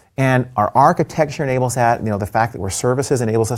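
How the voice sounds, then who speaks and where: Heard in a very clean recording with a silent background, a man talks in an ordinary speaking voice at medium pitch with ordinary pitch variation. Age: 50s. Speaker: tech executive. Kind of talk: casual chat with product demos. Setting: studio.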